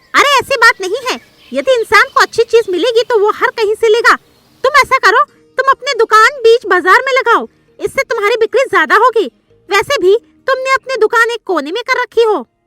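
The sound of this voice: In a raised, projected, cartoonish character voice, a woman speaks at a moderate pace while faint music plays in the background.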